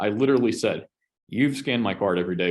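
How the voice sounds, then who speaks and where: A man speaks loudly at a very fast pace, his pitch swinging very widely with vocal fry. The background is quiet. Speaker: pastor. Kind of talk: casual chat.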